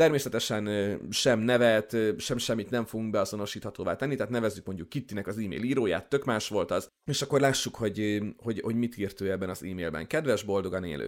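Speaking at a very fast pace, a man with a fairly low pitch uses ordinary pitch variation. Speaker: podcast host. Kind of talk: casual interview conversation.

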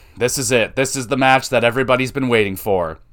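This man has a normal speaking voice at a medium pitch. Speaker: wrestling podcast host. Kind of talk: casual solo review podcast. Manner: casual, rambling, profane.

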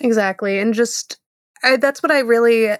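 Here a woman talks at a fairly quick pace with a fairly high pitch. She has a normal speaking voice, recorded with a dry, close sound and no echo. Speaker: podcast co-host. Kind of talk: casual chat.

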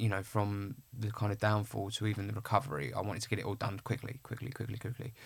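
A man speaks very fast in a fairly low, somewhat breathy voice. His intonation is fairly even, on a very clean recording with a silent background. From Essex, England (Clacton-on-Sea). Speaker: actor. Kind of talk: casual interview.

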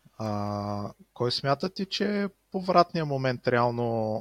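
A man at a very slow pace, in a dry, close sound with no echo against a quiet background. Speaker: podcast host. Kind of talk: casual chat. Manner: hesitant with filler sounds.

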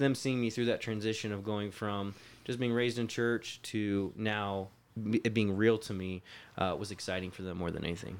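Recorded very cleanly against a silent background, a man with an American accent and an unremarkable speaking voice talks fairly quickly at a fairly low pitch with fairly even intonation. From Florida. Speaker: pastor and missionary. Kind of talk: interview.

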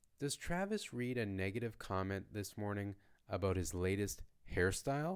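With a normal speaking voice, a man talks at a fairly low pitch and with lively intonation on a very clean recording with a silent background. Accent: Canadian. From Canada. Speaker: language teacher podcaster. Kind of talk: story reading for learners; question and answer teaching. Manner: slow, clear.

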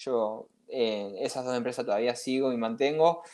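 Fairly slow in pace, a man speaks. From Catalonia, Spain until 15, then Argentina. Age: young. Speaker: investor, finance enthusiast. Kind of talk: interview conversation. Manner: halting, many fillers.

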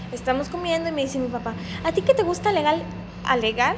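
A woman's high-pitched voice with very wide pitch swings at a fairly quick pace, over noticeable background noise. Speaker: podcast co-host. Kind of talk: casual chat.

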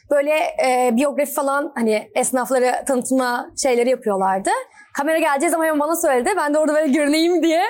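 Talking at a very fast pace, a woman with a high pitch keeps her loudness very even and her pitch variation ordinary. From Turkey, Izmir. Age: 20s. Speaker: actress and film student. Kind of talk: casual interview. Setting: inside a store in a shopping mall.

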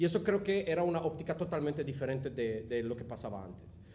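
A man speaks with a non-native accent. His pitch is fairly high. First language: not Spanish (speaking Spanish). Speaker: innovation consultant. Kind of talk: casual interview. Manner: halting, many fillers.

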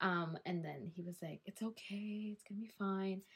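A woman with a Canadian accent speaks in an ordinary speaking voice at medium pitch. Her pace is fairly slow and her intonation fairly even. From Calgary, Alberta, Canada. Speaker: podcast co-host. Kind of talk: casual chat.

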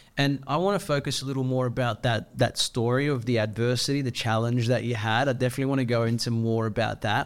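A man speaks very fast with an Australian accent. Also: medium pitch for a man, hardly any pauses. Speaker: podcast host. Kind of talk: casual interview chat. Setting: studio. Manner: animated.

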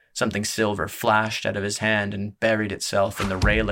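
Words delivered in an unforced reading voice

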